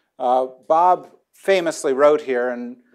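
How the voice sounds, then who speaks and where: Little can be heard behind this man's voice. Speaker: debate moderator. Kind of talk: moderator introduction to audience. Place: hall. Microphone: lapel.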